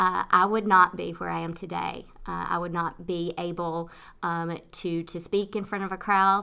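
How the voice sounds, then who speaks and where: Speaking slowly-ish in a Tennessee accent, a woman with a fairly low pitch and a bright, sharp tone keeps a monotone, flat delivery on a very clean recording with a silent background. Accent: Southern US (Tennessee). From US South, rural Tennessee. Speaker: nonprofit executive director. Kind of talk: interview. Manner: hesitant, many fillers.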